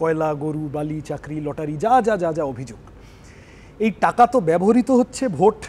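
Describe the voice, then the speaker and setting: This man's fairly high voice swings very widely in pitch and rises and falls a lot in loudness. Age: young. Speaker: politician, election candidate. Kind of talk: televised political debate. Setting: studio. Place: studio. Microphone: lapel.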